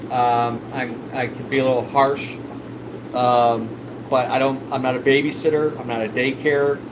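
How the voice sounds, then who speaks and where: A man talks at a medium pitch with monotone, flat intonation. Audible room echo and noticeable background noise surround his voice. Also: moderate pace. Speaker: fish store owner and livestreamer. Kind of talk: casual livestream chat. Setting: live stream. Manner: loud.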